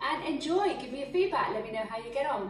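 Noticeable background noise behind a woman's voice. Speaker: fitness instructor. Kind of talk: workout class intro. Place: home room.

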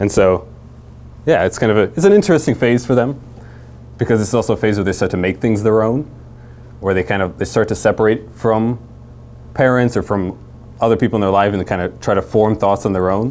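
A man with a fairly low voice talks at a fairly quick pace, broken by long, frequent pauses. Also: ordinary pitch variation. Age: 20s. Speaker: youth ministry speaker; presenter. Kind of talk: talk to church parents and leaders; lecture. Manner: many filler words. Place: classroom.

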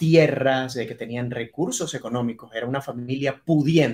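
A man keeps fairly even intonation and a moderate pace, with a quiet background behind him. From Venezuela, Maracaibo. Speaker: TV journalist. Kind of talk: interview conversation. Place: office.

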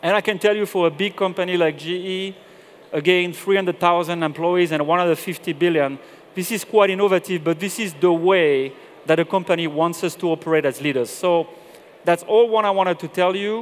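A man with a French accent, high pitch, fairly even intonation and moderate pace. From southern France. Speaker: corporate general manager; presenter. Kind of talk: conference talk. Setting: stage with audience. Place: stage. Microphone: headset.

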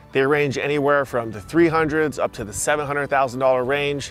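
Faint music plays behind a man whose intonation stays fairly even. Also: dry sound with no echo. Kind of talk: presenter-style area tour. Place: open country.

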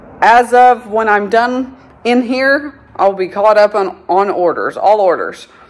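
A woman at a fairly slow pace against a quiet background. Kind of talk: casual vlog chat. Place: factory. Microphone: phone near.

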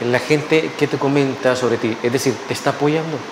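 A man with a fairly high voice speaks at a fairly quick pace and with fairly even intonation over noticeable background noise. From El Salvador. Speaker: TV interviewer. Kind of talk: TV interview. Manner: formal. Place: studio. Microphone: lapel.

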